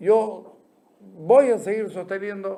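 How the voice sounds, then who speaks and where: This man has a high pitch but a dark, mellow tone. His intonation stays fairly even. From Santa Cruz, Bolivia. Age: 60s. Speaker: journalist and show host. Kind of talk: opinion commentary monologue.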